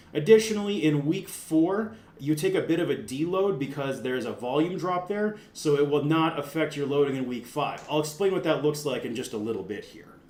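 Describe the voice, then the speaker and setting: At a fairly quick pace with hardly any pauses, the speaker uses lively intonation and big swings in loudness, with audible room echo and noticeable background noise. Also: man, fairly high pitch for a man. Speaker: strength coach. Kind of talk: tutorial. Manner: casual; fast.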